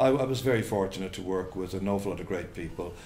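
With a Cork accent, a man speaks at a very deep, low pitch over light background noise. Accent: Cork Irish. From Cork, Ireland; Ireland. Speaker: sports commentator. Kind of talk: interview answer. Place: home room.

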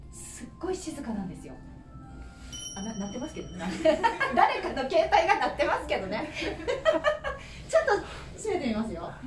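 A woman's high-pitched voice at a moderate pace, with long, frequent pauses, big swings in loudness and music in the background. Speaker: TV reporter. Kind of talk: casual travel report to camera. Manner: upbeat, excited. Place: hall. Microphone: camera far.

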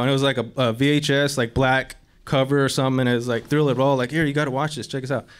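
Speaking at a fairly quick pace, a man with a fairly high pitch has an unremarkable speaking voice. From San Carlos, Arizona; Arizona. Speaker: professional skateboarder; panelist. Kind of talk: panel discussion. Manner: casual slangy. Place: hall.

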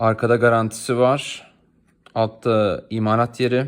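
A man speaks at a medium pitch in a monotone, flat intonation. The recording is very clean, with a silent background. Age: 20s. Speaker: freelance translator reviewing products on video. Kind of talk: product review video. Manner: casual, hesitant with fillers.

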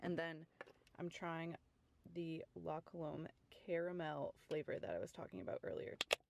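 A woman speaks with an American accent, leaving long, frequent pauses. The sound is dry with no echo, though noticeable background noise is present. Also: moderate pace. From Connecticut. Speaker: lifestyle vlogger. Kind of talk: casual vlog. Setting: at home. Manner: animated.

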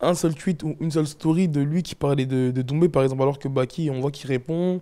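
Over a quiet background, a man talks at a fairly quick pace with hardly any pauses. His voice is fairly high, with a dark, mellow tone. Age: 20s. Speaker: MMA fighter and podcaster; podcaster. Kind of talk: casual chat. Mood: calm, reflective. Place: studio. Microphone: lapel.

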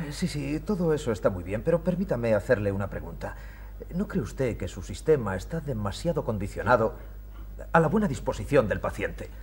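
Light background noise hums in the recording. Over it, a man speaks fairly fast. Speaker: journalist character; stage actor. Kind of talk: period TV stage play, light comedy. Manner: lively, playful, joking, animated. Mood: skeptical, questioning. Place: studio. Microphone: old recording.

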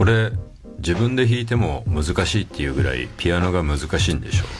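Fairly quick speech from a man over clear music in the background. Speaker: radio host. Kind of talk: radio talk show. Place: studio.

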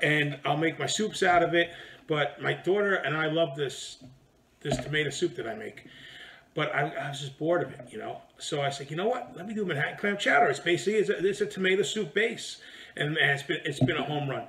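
The pace is fairly quick, with ordinary pitch variation. There is light background noise. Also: man, high pitch for a man. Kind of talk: cooking tutorial. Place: home room.

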